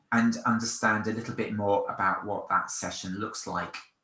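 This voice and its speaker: With audible room echo, a man talks at a moderate pace in a bright, sharp tone. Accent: London. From London. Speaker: event company presenter. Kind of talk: product demonstration. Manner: casual, with fillers and repetitions.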